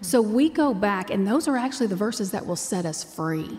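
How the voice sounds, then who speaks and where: Somewhat breathy and fairly high in pitch, a woman with an American accent speaks with lively intonation. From Texas. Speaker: ministry founder. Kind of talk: interview.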